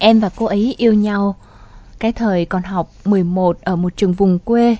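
At a fairly slow pace, the speaker uses a plain, everyday voice with ordinary pitch variation. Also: woman. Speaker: radio host. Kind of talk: radio show hosting, advice and commentary.

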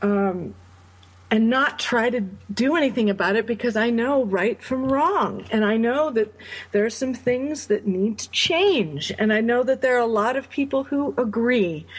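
A woman speaks at a moderate pace with lively intonation and a fairly high pitch, over noticeable background noise. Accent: American. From upstate New York. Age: 40s. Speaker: charity founder, bereaved mother. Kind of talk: interview.

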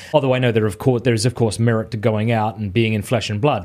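With an Australian accent, a man talks on a very clean recording against a silent background. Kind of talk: casual interview chat. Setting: call.

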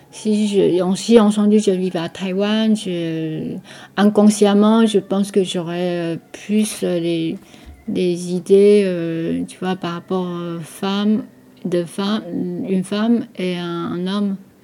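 A woman at a medium pitch with a dark, mellow tone, fairly even intonation and a very slow pace. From Taiwan. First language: Taiwanese Hokkien, also Mandarin (speaking French). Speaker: boutique owner and artist. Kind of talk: radio interview portrait. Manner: halting, many hesitations and repetitions.

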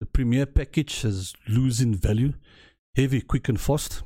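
A dark, mellow, somewhat breathy voice speaks at a fairly slow pace with ordinary pitch variation. The recording is very clean, with a silent background. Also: man, dry, close sound with no echo. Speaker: podcast host. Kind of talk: solo commentary podcast.

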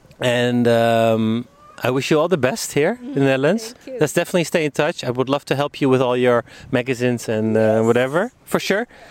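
This man has a medium pitch and talks at a fairly quick pace. Background noise is noticeable. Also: dry, close sound with no echo. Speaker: podcast host. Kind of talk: casual interview conversation. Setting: outdoors on a public bench. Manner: laughs often, casual.

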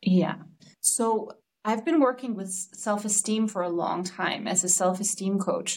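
A woman with a Danish accent speaks fairly slowly at medium pitch, somewhat breathy, with ordinary pitch variation. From Denmark. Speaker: relationship coach. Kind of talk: casual interview chat.

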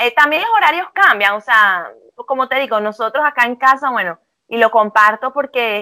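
In a very clean recording with a silent background, a bright, sharp tone moves at a fairly quick pace, the sound dry and close with no echo. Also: woman. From Venezuela. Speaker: psychologist. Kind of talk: casual interview. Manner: hesitant, filler-heavy.

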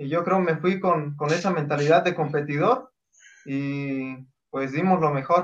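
A man speaks at a fairly slow pace with a fairly high pitch. He has a plain, everyday voice with ordinary pitch variation. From Oaxaca, Mexico. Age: 20s. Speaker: mountain runner. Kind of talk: interview.

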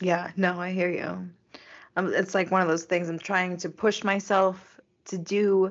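A woman at a medium pitch and a fairly slow pace, with an ordinary speaking voice. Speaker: podcast co-host. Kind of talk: casual chat.

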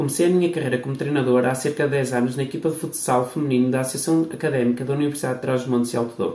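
A man speaks very fast at a medium pitch. Room echo is audible in the recording. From Portugal, Barcelos (Minho). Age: 30s. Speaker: podcast host, PE teacher and futsal coach. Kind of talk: scripted introduction.

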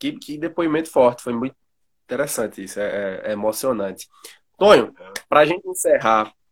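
A man at a medium pitch and a fairly quick pace, with big swings in loudness and long, frequent pauses. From Pernambuco, Brazil. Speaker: podcast host and music researcher. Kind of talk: interview.

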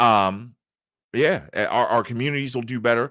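A man with an American accent and a bright, sharp tone, vocal fry, and a moderate pace, on a very clean recording with a silent background. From Baltimore, Maryland. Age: 40s. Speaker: YouTube content creator. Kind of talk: casual interview.

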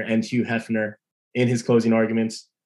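With an American accent, a man speaks in an unremarkable speaking voice at medium pitch and a moderate pace. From Long Island, New York. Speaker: podcast co-host. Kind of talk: casual chat.

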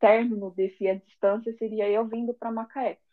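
A woman speaks in a São Paulo accent. Her pitch is fairly high. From São Paulo, Brazil. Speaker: confectioner. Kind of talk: casual interview. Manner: animated.

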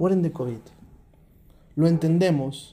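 The speaker is a man with a dark, mellow tone. He keeps to a moderate pace. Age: 30s. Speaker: podcast host. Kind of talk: monologue.

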